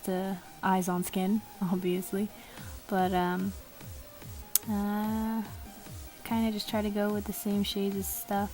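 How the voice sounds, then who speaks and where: Over music in the background, the speaker goes at a fairly slow pace with fairly even intonation. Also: woman. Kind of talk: drawing tutorial narration. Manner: casual, hesitant.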